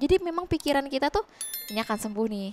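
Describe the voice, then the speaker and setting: A woman's very fast speech with lively intonation and a dry sound with no echo. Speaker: widow guest. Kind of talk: emotional interview about grief. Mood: somber, reflective storytelling. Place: studio. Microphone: headset.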